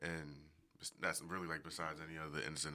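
A man with an American accent, very deep and low in pitch, bright and sharp in tone, monotone and flat, at a very fast pace. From US Northeast, Philadelphia. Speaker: podcast guest. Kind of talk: casual chat.

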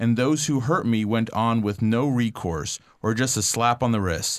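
Medium pitch and moderate pace in a man's normal speaking voice. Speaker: podcast host. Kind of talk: podcast hosting. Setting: studio.

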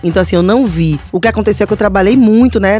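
A woman at medium pitch, very fast pace and fairly even intonation, with noticeable background noise. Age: 30s. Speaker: podcast co-host. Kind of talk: casual chat. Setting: studio.

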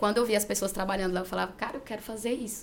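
A woman talks with fairly even intonation. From Gurupi, Tocantins, Brazil. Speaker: school principal and teacher. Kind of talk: interview.

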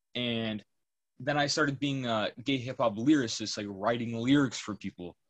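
A man with a normal speaking voice at a medium pitch talks at a moderate pace with ordinary pitch variation, in a dry, close sound with no echo. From Massachusetts, US. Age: young. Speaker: hip hop producer. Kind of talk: casual chat.

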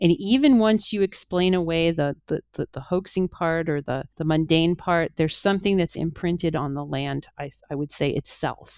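A woman with a Canadian accent speaks in an unremarkable speaking voice at a fairly low pitch with ordinary pitch variation and hardly any pauses. The recording is very clean with a silent background and a dry, close sound with no echo. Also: moderate pace. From Canada, Toronto. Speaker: author and UFO researcher. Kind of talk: interview.

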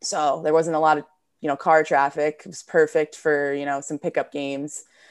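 With an American accent, a woman speaks at a moderate pace in a very deep, low pitch and a monotone, flat intonation over a quiet background. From New Jersey, US. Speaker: professional hockey player and coach. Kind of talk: interview.

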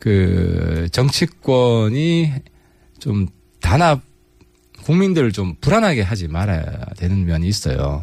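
A man with a fairly low pitch speaks at a very slow pace, his pitch swinging very widely between long, frequent pauses. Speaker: politician. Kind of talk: radio interview. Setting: studio.

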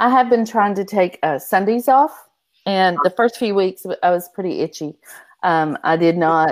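In a very clean recording with a silent background, a woman with an ordinary speaking voice talks at a moderate pace and medium pitch, her intonation lively. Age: 50s. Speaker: romance author. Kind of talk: casual chat.

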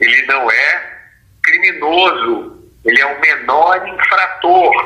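A man speaks at a very slow pace. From Brazil, Rio de Janeiro. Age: 50s. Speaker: author and former state security secretary. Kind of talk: interview.

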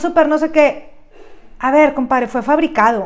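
In a very clean recording with a silent background, a woman speaks in a Mexican accent. Her pitch is high, with ordinary variation, and her pace is moderate. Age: 30s. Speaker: podcast host and branding speaker. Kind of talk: lecture.

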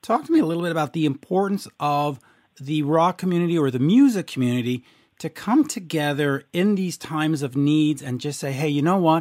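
An ordinary speaking voice moves at a fairly quick pace with ordinary pitch variation, in a very clean recording with a silent background. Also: man, fairly high pitch for a man. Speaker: podcast host. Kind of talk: casual interview.

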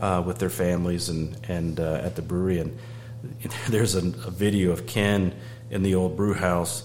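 A man's very deep, low voice with lively intonation at a moderate pace, amid noticeable background noise and audible room echo. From US South, Georgia. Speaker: beer sales manager. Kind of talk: casual chat.

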